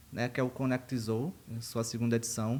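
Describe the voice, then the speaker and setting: A man talks at a moderate pace. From Brazil, Rio Grande do Norte (northeast), small interior town. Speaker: university professor of animal science. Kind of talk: podcast interview.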